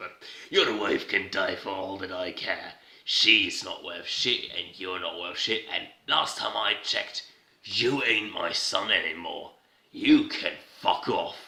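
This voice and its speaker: A man's put-on character voice moves along at a fairly slow pace. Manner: harsh, contemptuous.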